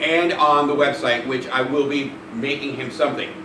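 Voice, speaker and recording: A man talks as noticeable background noise and audible room echo surround his voice. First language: Spanish. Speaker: pet fox owner and YouTuber. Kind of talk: live stream Q&A. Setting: live stream. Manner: casual, rambling with fillers.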